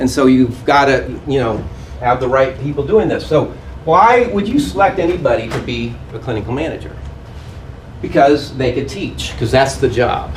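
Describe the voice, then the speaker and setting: A man with an American accent speaks at a moderate pace. Audible room echo and noticeable background noise are present. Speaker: hospice management consultant. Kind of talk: conference presentation.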